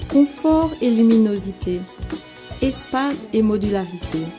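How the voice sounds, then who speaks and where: Music plays in the background as a woman speaks. Her fairly high voice has lively intonation. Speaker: voice actor. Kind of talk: TV commercial read.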